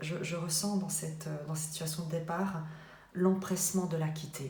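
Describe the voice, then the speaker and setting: Amid noticeable background noise and audible room echo, a woman speaks fairly slowly in a very deep, low pitch with monotone, flat intonation. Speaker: tarot card reader. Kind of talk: tarot reading. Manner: halting, many filler sounds.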